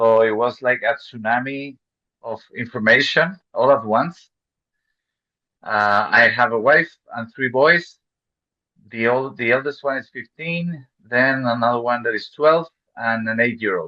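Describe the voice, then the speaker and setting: In a Chilean Spanish accent, the speaker goes at a fairly slow pace with a bright, sharp tone, ordinary pitch variation and long, frequent pauses over a quiet background. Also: man, medium pitch for a man. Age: 40s. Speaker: real estate investor. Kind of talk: interview. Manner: halting.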